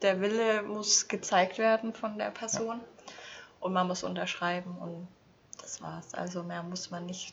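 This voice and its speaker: A woman's plain, everyday voice, fairly even in intonation, with big swings in loudness. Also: medium pitch for a woman, fairly slow pace. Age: 20s. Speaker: former registrar. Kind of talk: casual chat.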